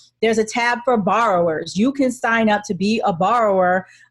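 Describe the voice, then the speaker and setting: A woman speaks fairly quickly in a somewhat breathy voice at a medium pitch. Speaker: real estate attorney and investor. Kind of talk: webinar Q&A presentation. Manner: fast.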